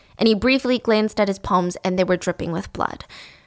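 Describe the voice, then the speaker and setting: A woman speaks very fast at a medium pitch. The recording is very clean, with a silent background. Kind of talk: true-crime narration. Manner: measured storytelling, serious and conversational; sounds uneasy and disturbed when talking about the killer.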